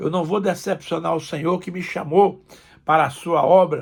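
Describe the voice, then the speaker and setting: Very clean recording, silent background. A man speaks at a high pitch. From Brazil, Northeast. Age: 70s. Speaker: pastor. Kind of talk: sermon. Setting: recorded video message.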